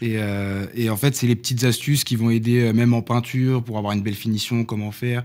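This man speaks at a fairly quick pace with hardly any pauses, his medium-pitched voice flat and monotone. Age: 20s. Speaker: builder and content creator; content creator. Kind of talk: casual chat. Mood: relaxed, friendly. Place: studio. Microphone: studio mic.

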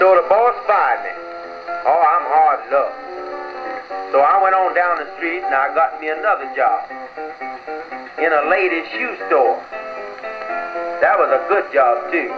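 A man at a fairly slow pace, long, frequent pauses, and music in the background. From United States. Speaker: comedian. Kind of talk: comedy monologue with guitar accompaniment. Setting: old 1920s record played on an acoustic phonograph. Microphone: old recording.

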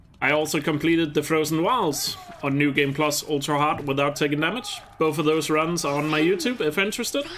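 The speaker has a slight Danish accent and a fairly quick pace. Noticeable background noise is present. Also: man. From Denmark. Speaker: gaming streamer. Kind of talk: live-stream commentary. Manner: casual, conversational.

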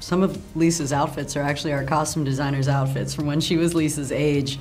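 Over faint background music, a woman with a very deep, low pitch talks at a fairly quick pace in a monotone, flat intonation. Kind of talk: interview answer. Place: hall.

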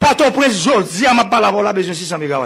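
Against a quiet background, a man speaks in a high-pitched voice. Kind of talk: public speech. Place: hall. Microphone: podium.

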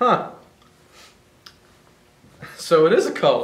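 A man's put-on character voice, fairly high and fairly bright, with big pitch swings, a very slow pace and strong room echo.

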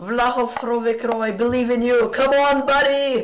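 A man's extremely high-pitched voice, fairly slow, with fairly even intonation. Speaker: chess streamer. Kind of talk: live commentary. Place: home room.

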